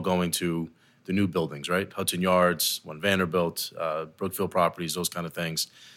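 Bright, sharp tone on a very clean recording with a silent background. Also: man. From New Jersey. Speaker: construction company executive. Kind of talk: podcast interview. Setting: office boardroom.

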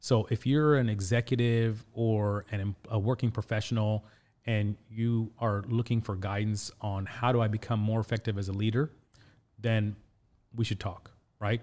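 In a very clean recording with a silent background, a man with a Midwestern accent speaks at a moderate pace in a fairly low pitch with monotone, flat intonation. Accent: American Midwest. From Indianapolis, US Midwest (born in Pakistan). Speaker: career coach and executive. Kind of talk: interview. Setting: studio.

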